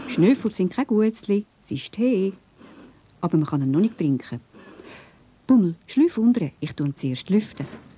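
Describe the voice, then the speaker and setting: A woman with a Swiss accent speaks at a medium pitch, her voice making very wide pitch swings, with long, frequent pauses. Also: fairly slow pace. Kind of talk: children's cartoon narration. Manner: friendly, explanatory.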